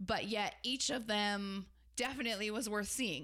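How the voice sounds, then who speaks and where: At a moderate pace, the voice comes across with a bright, sharp tone. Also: woman. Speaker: podcast co-host. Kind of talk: casual travel chat.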